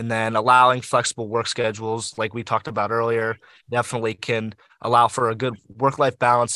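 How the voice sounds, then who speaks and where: A man with an American accent, medium pitch, a bright, sharp tone and flat, monotone intonation, fairly quick, over a quiet background, in a dry, close sound with no echo. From Pittsburgh area, Pennsylvania. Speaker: student podcast co-host. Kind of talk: casual panel discussion.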